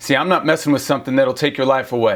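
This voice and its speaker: At a fairly quick pace, a man talks in a normal speaking voice at a medium pitch. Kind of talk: spoken word poetry.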